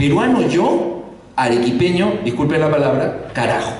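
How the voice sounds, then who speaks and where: A man speaks at a moderate pace. Audible room echo and noticeable background noise come through. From Peru, Arequipa. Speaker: panelist at a round table. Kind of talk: panel discussion. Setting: university auditorium, festival audience. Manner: hesitant, many fillers.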